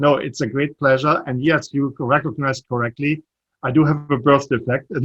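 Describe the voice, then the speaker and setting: A man with a slight German accent speaks at a fairly high pitch. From Germany. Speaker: startup CEO. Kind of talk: interview.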